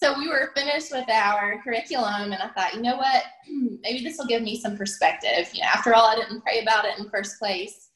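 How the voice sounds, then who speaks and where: A woman talks at a fairly quick pace in a plain, everyday voice. Her pitch sits fairly high and her intonation is lively. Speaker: working homeschool mom. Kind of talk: casual interview chat.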